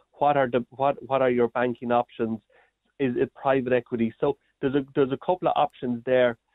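This man talks at a fairly quick pace in an Irish accent, his medium-pitched voice flat and monotone with very even loudness. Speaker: agri-business report author. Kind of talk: radio interview. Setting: phone call.

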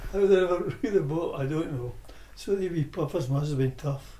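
With a Scottish accent, a man talks at a moderate pace in a fairly high pitch, with ordinary pitch variation. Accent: Scottish (Ayrshire). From Scotland, Irvine, Ayrshire. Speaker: oral history interviewee. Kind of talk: reminiscence. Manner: halting.

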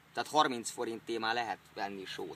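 Dry sound with no echo and light background noise. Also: man. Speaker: comic vlogger. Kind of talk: comic cooking demonstration. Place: open country. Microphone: phone near.

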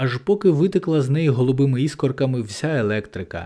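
This is an unforced reading voice. It has ordinary pitch variation.

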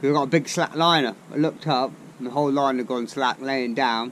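The speaker goes at a fairly quick pace with ordinary pitch variation. Light background noise sits behind the voice. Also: man. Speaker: angler vlogger. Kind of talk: casual vlog chat. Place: street. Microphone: camera far.

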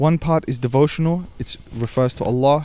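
A man's dark, mellow voice, dry with no echo. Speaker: podcast host. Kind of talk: sermon-like podcast talk. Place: garden. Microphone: handheld.

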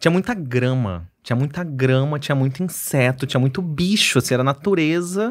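With a slight Mato Grosso accent, a man speaks at a fairly high pitch and a moderate pace, his intonation lively, his loudness very even and his pauses hardly any, against a quiet background. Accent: slight Cuiabá accent, noticeable in the R. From Cuiabá, Mato Grosso, Brazil; Mato Grosso, Brazil. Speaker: psychiatrist; podcast guest. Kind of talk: casual interview chat. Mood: relaxed, friendly. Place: studio. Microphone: studio mic.

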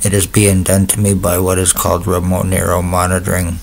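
Very deep and low, a man's voice holds a monotone, flat intonation. Light background noise sits behind him. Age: 50s. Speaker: vlogger. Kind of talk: personal testimony monologue. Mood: aggrieved, accusatory. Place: home room. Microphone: webcam.

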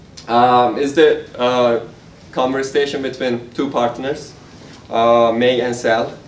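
A man speaks very slowly at a medium pitch, his intonation flat and monotone. Audible room echo and light background noise surround him. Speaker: software engineer and amateur writer; guest. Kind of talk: prose reading. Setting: stage with audience. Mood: dark, intense poem. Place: hall. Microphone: camera far.

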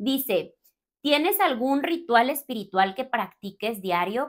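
Against a quiet background, a woman speaks in an animated tone with lively intonation. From Mexico, Torreón, Coahuila; Coahuila, Mexico. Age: 30s. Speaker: spiritual coach and content creator; spiritual coach, content creator. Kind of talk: casual Q&A monologue to camera. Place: home room.

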